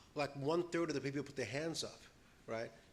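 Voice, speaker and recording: A man with an American accent talks in fairly even intonation, with audible room echo and noticeable background noise. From New York. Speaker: panel presenter on disaster resilience. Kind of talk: conference presentation. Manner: fast.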